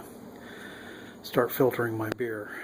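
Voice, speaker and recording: Noticeable background noise accompanies a man's voice. He speaks at medium pitch with monotone, flat intonation. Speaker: homebrewer. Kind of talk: casual how-to demonstration. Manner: hesitant, many filler sounds.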